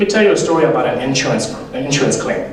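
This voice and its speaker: There's clear room echo and plenty of background noise here. The man's intonation rises and falls in a lively way. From Zambia. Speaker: motivational speaker. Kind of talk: keynote speech. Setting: stage with audience. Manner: animated.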